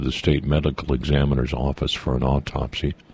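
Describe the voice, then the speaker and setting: Amid noticeable background noise, a man with a very deep, low pitch talks at a very fast pace in a monotone, flat intonation. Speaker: radio morning host. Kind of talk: radio news read. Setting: radio studio.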